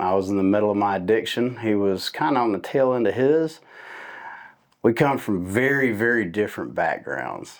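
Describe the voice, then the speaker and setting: This man has an unremarkable speaking voice, fairly low in pitch. He talks at a moderate pace with lively intonation. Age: 40s. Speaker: recovery advocate and podcast host. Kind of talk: casual interview.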